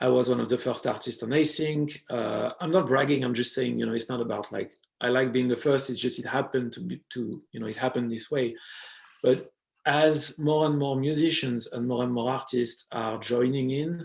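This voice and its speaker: A man with a French accent talks at a medium pitch with fairly even intonation. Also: moderate pace. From France. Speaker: DJ and electronic music producer. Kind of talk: interview conversation. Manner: hesitant, many fillers.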